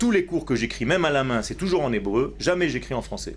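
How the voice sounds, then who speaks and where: A man talks with an Israeli accent. Audible room echo surrounds his voice. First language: Hebrew (speaking French). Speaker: rabbi teacher. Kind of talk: religious lecture. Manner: slow, structured; halting, repeats words.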